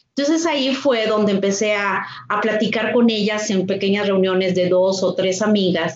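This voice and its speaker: A woman speaks at a moderate pace with a medium pitch, ordinary pitch variation and very even loudness, with audible room echo and noticeable background noise. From northern Mexico, Torreón, Coahuila. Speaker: civic foundation president. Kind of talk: interview conversation.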